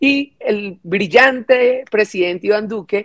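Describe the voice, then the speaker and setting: Using an ordinary speaking voice, a woman talks at a fairly high pitch with ordinary pitch variation. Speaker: congresswoman. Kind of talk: parliamentary speech.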